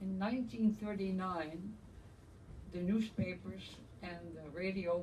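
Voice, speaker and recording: In a Dutch accent, a woman with a medium pitch and ordinary pitch variation talks at a fairly slow pace, with audible room echo. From Netherlands, Amsterdam. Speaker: Holocaust survivor. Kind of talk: testimony.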